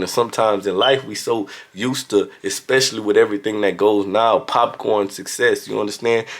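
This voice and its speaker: A strong Louisiana accent at a fairly quick pace. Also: man. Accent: Louisiana southern accent, strong. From Louisiana, US South. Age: young. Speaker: motivational vlogger. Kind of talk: motivational talk. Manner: casual.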